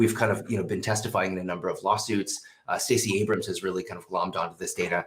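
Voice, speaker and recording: Audible room echo colors the voice of a man who speaks at a very fast pace. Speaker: professor of behavioral economics. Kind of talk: conference presentation. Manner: halting, many fillers and restarts.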